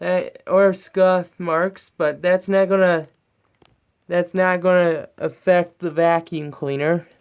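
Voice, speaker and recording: Here a man speaks with a high pitch and monotone, flat intonation. His pace is very slow. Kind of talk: casual talk to camera. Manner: stuttering, hesitant.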